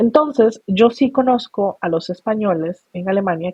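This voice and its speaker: Ordinary pitch variation marks the way this woman speaks. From Costa Rica. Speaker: migration expert, NGO founder. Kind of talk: interview conversation.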